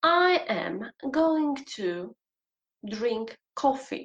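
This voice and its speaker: A woman with a Polish accent speaks at a high pitch with lively intonation. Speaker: English teacher and podcaster. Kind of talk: solo podcast monologue, educational.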